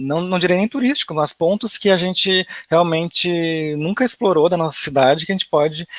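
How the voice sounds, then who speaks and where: A man with a normal speaking voice, fairly high-pitched with ordinary pitch variation, at a moderate pace, in a dry, close sound with no echo. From Rio Grande do Sul, Brazil. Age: 20s. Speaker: advertising professional, financial education content creator. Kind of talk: online talk / webinar presentation. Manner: casual, conversational.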